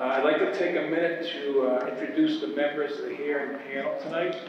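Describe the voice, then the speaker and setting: Strong room echo and light background noise surround a man whose intonation is fairly even. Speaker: hearing panel chair. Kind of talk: formal meeting announcements. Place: hall. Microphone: podium.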